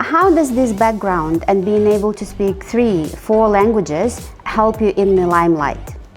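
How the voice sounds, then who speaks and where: A woman's medium-pitched voice at a moderate pace, lively in intonation, with music in the background. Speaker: interviewer. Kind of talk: interview questions.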